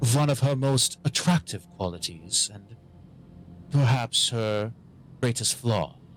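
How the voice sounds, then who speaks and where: A man puts on a resonant character voice at medium pitch. He speaks at a fairly slow pace. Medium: actual play. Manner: crisp, cordial, courtly.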